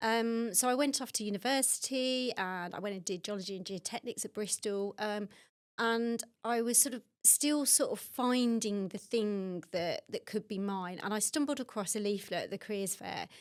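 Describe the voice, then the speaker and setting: A Birmingham accent at a moderate pace with ordinary pitch variation, in a very clean recording with a silent background. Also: woman, fairly high pitch for a woman. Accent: Birmingham (Brummie). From Birmingham, England. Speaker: water industry executive. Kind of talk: podcast interview.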